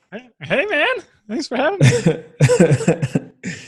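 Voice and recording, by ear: At a very slow pace, a man puts on a squeaky, high-pitched character voice.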